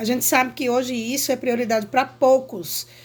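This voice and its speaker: The speaker is a woman with a high-pitched voice. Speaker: teacher. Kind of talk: lecture.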